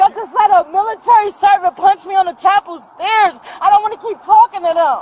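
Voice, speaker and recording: A loud woman at an extremely high pitch, with hardly any pauses and fairly even intonation, in a dry, close sound with no echo and crowd noise in the background. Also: fairly quick pace. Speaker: detained shoplifting suspect. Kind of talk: confrontation with police. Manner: rapid and agitated.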